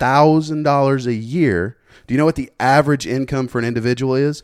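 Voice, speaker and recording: A man talks in a normal speaking voice at medium pitch with ordinary pitch variation. The recording is very clean, with a silent background. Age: 30s. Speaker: podcast guest. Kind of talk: casual chat.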